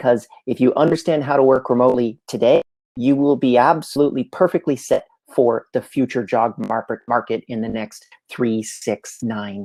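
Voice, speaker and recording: Dark and mellow in tone, a man with a Canadian accent talks at a moderate pace and medium pitch with ordinary pitch variation, in a dry, close sound with no echo. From Canada, Montreal. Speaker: entrepreneur and remote work speaker. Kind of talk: live presentation. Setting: livestream.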